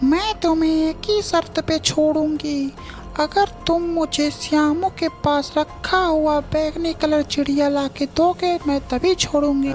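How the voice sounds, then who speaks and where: A cartoonish character voice, high-pitched and very slow, with clear music in the background. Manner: cackling, menacing.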